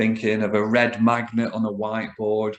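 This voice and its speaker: The speaker has a northern English accent and talks at a moderate pace. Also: man. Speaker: business coach. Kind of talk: solo talk to camera. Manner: casual, hesitant with fillers.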